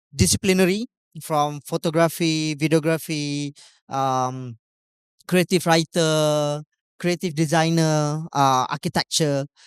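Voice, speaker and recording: A fairly slow delivery with a Malaysian accent on a very clean recording with a silent background. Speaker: talk show host. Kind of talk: live event talk show opening. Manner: hesitant, many fillers.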